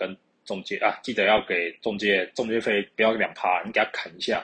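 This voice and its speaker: Here a man talks in a Taiwanese accent. His medium-pitched voice moves at a fairly quick pace. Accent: Taiwanese Mandarin. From Taiwan, Keelung. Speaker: podcast host. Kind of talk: casual solo monologue. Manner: halting.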